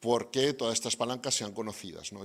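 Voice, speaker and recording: Lively in intonation, a man with a Spanish accent speaks at a fairly quick pace. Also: very clean recording, silent background. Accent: Spanish (Spain). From Spain. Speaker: development bank representative. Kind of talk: closing remarks at event. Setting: university event with audience. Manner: hesitant, many fillers.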